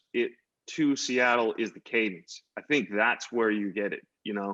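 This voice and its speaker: A man's medium-pitched voice with lively intonation over a quiet background. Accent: American. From New York (Queens). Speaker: visual artist. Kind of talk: panel conversation. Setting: virtual conversation. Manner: halting with many false starts.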